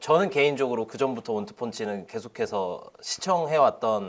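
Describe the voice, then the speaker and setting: Speaking at a moderate pace, a man with a fairly high voice lets his pitch swing very widely. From Spain (Korean-born, moved at age 3). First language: Spanish (speaking Korean). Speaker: football league representative. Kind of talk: interview. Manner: polite, formal.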